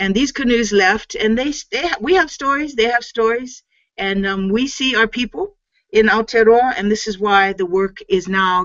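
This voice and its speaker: Against a quiet background, a woman with a Hawaiian accent speaks with lively intonation. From Hawaii, Oahu. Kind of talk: lecture. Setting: video call. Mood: earnest, inspirational.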